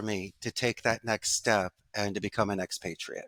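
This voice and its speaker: With a Philadelphia accent, a man talks at a moderate pace on a very clean recording with a silent background, the sound dry and close with no echo. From US Northeast, Philadelphia. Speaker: call center CEO. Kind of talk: interview.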